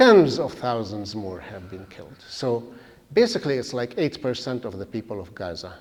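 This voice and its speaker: A man speaks at a medium pitch with an Arabic accent. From Palestine, East Jerusalem. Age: 70s. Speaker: guest speaker. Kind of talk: public talk. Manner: halting.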